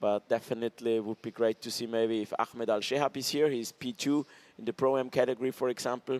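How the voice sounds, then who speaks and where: The speaker has an Austrian accent and a fairly quick pace with fairly even intonation. The recording is dry and close, with no echo. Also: man. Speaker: motorsport commentator. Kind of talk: live commentary.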